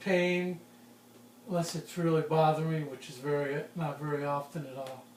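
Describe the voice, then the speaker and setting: Over noticeable background noise, a man talks at a moderate pace with a fairly high pitch and fairly even intonation. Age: 60s. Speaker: forester. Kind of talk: interview. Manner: halting.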